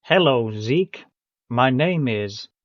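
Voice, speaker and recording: Using a put-on character voice, a man speaks at medium pitch with lively intonation. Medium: read story. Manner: calm, cold.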